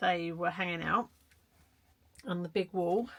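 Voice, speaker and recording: A somewhat breathy woman speaks at a fairly slow pace in a British accent. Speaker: art vlogger. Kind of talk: casual tutorial vlog. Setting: home shed studio. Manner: hesitant, halting.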